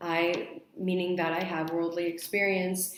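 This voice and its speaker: A woman with a Spanish accent speaks slowly-ish in a fairly low voice, and room echo is audible. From mixed: Spain, Mexico, Australia, Saudi Arabia, then US. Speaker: university student. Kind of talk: mock job interview answers.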